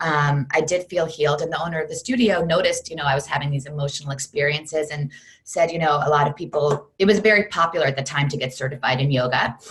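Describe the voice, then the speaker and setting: A woman speaks very fast with hardly any pauses, her voice very deep and low for a woman, somewhat breathy, with ordinary pitch variation. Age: 40s. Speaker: fitness program creator, former Broadway performer. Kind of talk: interview. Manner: talkative.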